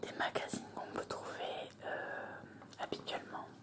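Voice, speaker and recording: Calm whispering over noticeable background noise. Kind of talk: ASMR magazine presentation. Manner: whispered; slow, calm, hesitant.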